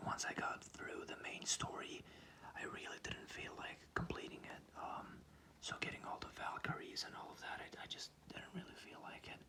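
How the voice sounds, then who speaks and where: A man is whispering. His pace is fairly slow. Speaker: ASMR creator. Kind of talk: ASMR whispered sleep video. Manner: whispered, calming.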